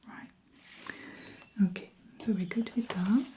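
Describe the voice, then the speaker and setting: This soft-spoken voice carries a French accent. It stays quiet throughout. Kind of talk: ASMR role-play, travel agent.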